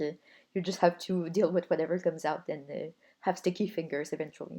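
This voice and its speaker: Against a quiet background, a woman with a dark, mellow tone talks at a fairly quick pace and with fairly even intonation. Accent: non-native. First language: not English. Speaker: hobbyist video maker. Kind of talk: voice-over narration of crafting video. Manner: casual.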